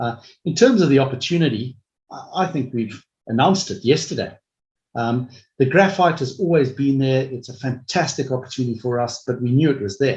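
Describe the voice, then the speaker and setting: Somewhat breathy and fairly quick, a man talks at a medium pitch while his loudness swings widely. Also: ordinary pitch variation. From Africa. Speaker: mining company executive. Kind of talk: investor webinar Q&A. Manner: hesitant, many fillers and repeats.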